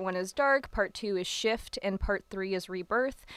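On a very clean recording with a silent background, a woman with an ordinary speaking voice talks fairly slowly at a medium pitch with ordinary pitch variation. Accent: American. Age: 20s. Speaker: poet. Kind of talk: casual chat.

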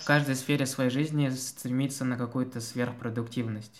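Using fairly even intonation, a man speaks at medium pitch and a moderate pace. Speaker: student podcast host. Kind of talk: casual chat.

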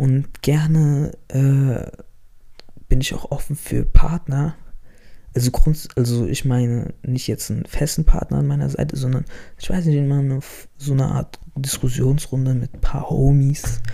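Speaking at a fairly slow pace, a man with a fairly high pitch has a dark, mellow, somewhat breathy tone and monotone, flat intonation. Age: 20s. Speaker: podcaster. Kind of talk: casual monologue. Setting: home. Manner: halting. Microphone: mic problems.

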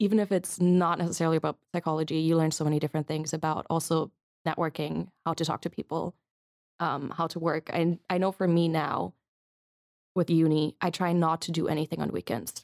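Dry and close with no echo, this very clean recording has a silent background. A woman talks at a fairly quick pace in a fairly low pitch with fairly even intonation. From Germany, Munich. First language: German. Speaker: psychology student. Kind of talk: interview. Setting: studio.

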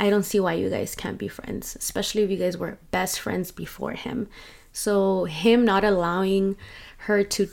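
Fairly even intonation marks a plain, everyday voice. Behind it lies a silent background in a very clean recording. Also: woman. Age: 30s. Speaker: podcast host. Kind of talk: casual chat. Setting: home recording, self-produced. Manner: relaxed, Spanish-English code-switching.

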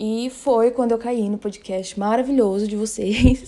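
A woman's voice with fairly even intonation amid noticeable background noise. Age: 20s. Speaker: children's shelter worker, podcast listener. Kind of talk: casual chat.

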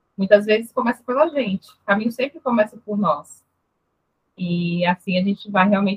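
A woman talks at a moderate pace with a medium pitch. Her voice is somewhat breathy, with ordinary pitch variation. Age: 30s. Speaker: nurse technician. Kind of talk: interview.

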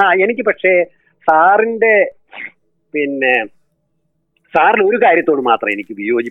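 This man's voice sits high, and his pitch swings very widely. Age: 70s. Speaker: doctor and rationalist writer. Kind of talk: interview.

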